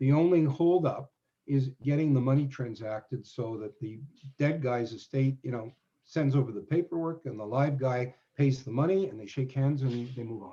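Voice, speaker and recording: Speaking in a Canadian accent, a man with a medium pitch and a dark, mellow, somewhat breathy tone talks at a moderate pace with ordinary pitch variation and big swings in loudness. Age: 70s. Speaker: semi-retired business lawyer. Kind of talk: webinar interview.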